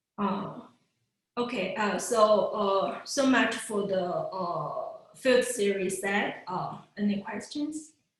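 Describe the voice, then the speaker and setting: A woman's fairly high voice at a very slow pace, with ordinary pitch variation and audible room echo. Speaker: physicist giving a research talk. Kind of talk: lecture. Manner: halting, many fillers.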